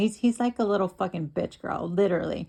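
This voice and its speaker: Vocal fry marks a woman's voice as she speaks at a fairly quick pace. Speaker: streamer. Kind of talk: heated argument. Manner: agitated; halting.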